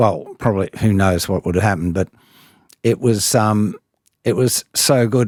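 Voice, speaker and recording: A man with an Australian accent and a fairly low pitch, speaking at a fairly slow pace, the sound dry and close with no echo. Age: 70s. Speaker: singer. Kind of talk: interview answer. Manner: casual, conversational.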